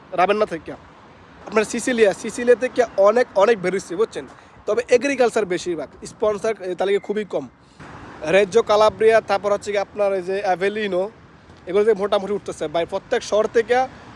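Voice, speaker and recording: A dry, close sound with no echo over noticeable background noise. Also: man, high pitch for a man, ordinary pitch variation. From Bangladesh, Comilla. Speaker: migrant worker vlogger. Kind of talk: casual vlog.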